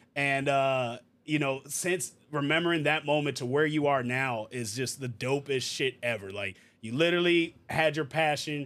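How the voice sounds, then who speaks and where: This man has an unremarkable speaking voice, fairly high in pitch with ordinary variation, on a very clean recording with a silent background. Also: moderate pace. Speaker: podcast host. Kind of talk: casual interview chat.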